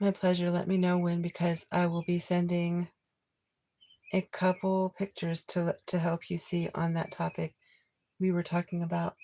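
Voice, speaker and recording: This woman has a fairly low pitch and a monotone, flat intonation at a moderate pace. Her loudness is very even, and the sound is dry and close with no echo. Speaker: tarot reader livestream host. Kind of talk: live stream chat with viewers. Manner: casual, hesitant with fillers.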